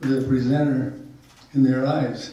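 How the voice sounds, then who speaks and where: A man with an American accent speaks at a fairly slow pace in a medium pitch, his somewhat breathy voice flat and monotone, with audible room echo. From Utah. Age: 80s+. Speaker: storyteller. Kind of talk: life-story talk to a small group. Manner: halting.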